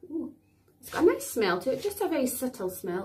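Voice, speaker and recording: With very wide pitch swings, a woman with a high voice speaks at a fairly quick pace. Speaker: beauty vlogger. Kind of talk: product demo tutorial. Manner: casual chatty.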